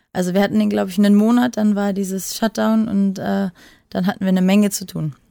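A woman with a dark, mellow tone talks at a very fast pace and medium pitch. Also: fairly even intonation, very clean recording, silent background. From western Germany. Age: 30s. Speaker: adult film performer. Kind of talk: casual interview. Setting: separate recording room.

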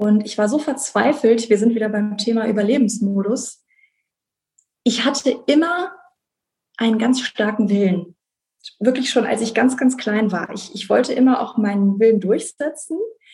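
Somewhat breathy and dark, mellow in tone, a woman speaks at a fairly high pitch with ordinary pitch variation and long, frequent pauses. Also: moderate pace. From Rhineland, Germany (Bonn). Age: 30s. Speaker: conference interpreter sharing her depression story. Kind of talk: personal testimony interview. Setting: video call.

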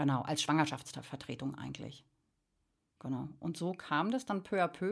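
In a very clean recording with a silent background, a woman speaks at a moderate pace with an animated tone and very wide pitch swings. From Berlin (Friedrichshagen area). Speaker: artist. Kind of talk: casual chat.

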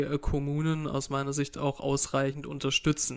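This man's fairly high voice stays monotone, with flat intonation throughout. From Swabia, Baden-Württemberg (Filderstadt, Esslingen district). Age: 30s. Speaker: state politician. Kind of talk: casual interview.

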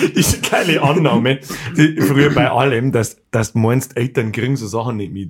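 Moderately paced, a male speaker uses an unremarkable speaking voice with a medium pitch and ordinary pitch variation. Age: 30s. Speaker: podcast host. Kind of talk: casual chat.

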